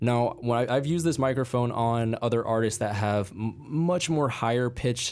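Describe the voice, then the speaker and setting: A man has a plain, everyday voice at a medium pitch. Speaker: music producer and gear reviewer. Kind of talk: product review. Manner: casual.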